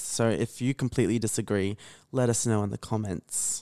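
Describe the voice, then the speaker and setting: Recorded very cleanly over a silent background with a dry, close sound and no echo, a man with an Australian accent and medium pitch speaks at a fairly quick pace with fairly even intonation. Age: young. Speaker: radio presenter, podcast guest. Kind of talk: casual chat. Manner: monotone.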